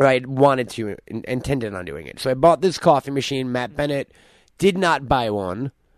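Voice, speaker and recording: Here is a man with a normal speaking voice, medium pitch and lively intonation at a moderate pace. The sound is dry and close with no echo, over a quiet background. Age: 30s. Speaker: podcast host. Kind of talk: casual chat.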